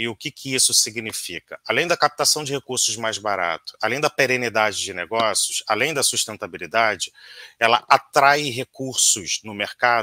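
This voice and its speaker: A man's medium-pitched voice, bright and sharp in tone, in a dry recording with no echo. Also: quiet background. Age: 40s. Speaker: auditor. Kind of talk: interview. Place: home room.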